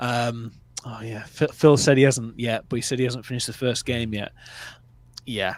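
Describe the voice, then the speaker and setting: A man with a northern English accent, medium pitch, monotone, flat intonation, big swings in loudness, a moderate pace and long, frequent pauses. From northern England. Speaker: movie review livestream host. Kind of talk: casual chat. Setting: livestream. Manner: relaxed.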